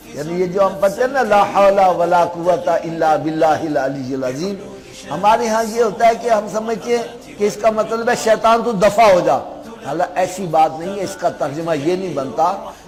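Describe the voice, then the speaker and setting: Noticeable background noise surrounds a man whose high pitch shows ordinary variation. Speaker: Islamic scholar giving a sermon. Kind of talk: Islamic sermon (bayan) to an audience.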